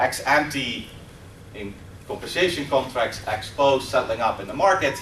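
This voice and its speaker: With a Dutch accent, a man speaks at a moderate pace with fairly high pitch and lively intonation. Audible room echo and noticeable background noise surround him. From Netherlands. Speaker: professor. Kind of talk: lecture. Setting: stage with audience.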